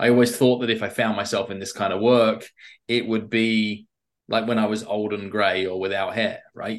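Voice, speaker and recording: In an English accent, a man speaks at a moderate pace with a fairly low pitch and monotone, flat intonation. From England. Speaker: persuasion expert and author. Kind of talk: interview conversation.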